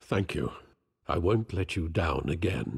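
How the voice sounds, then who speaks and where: In a put-on character voice, a man growls at a very deep, low pitch. He goes at a fairly slow pace with lively intonation. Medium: video game. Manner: formal, measured.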